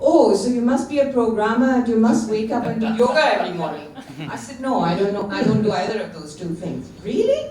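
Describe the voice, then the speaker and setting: A woman talks at a fairly quick pace and fairly high pitch, with lively intonation and big swings in loudness. Audible room echo and noticeable background noise are present. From India, Kashmir. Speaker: panel speaker at a book launch. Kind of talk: informal speech at an event. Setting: book launch with audience.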